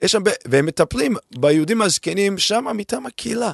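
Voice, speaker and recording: In a non-native accent, a man talks with very wide pitch swings, the sound dry and close with no echo. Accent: foreign accent in Hebrew. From abroad, immigrated to Israel at 22. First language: not Hebrew (speaking Hebrew). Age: 50s. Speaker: venture capital investor. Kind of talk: interview. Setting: studio.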